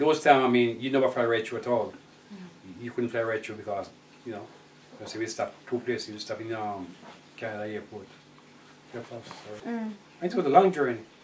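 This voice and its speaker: A man with a Jamaican accent and a medium pitch, at a fairly quick pace with long, frequent pauses, ordinary pitch variation and big swings in loudness, over noticeable background noise. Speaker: Jamaican immigrant to England. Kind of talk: oral history interview answer.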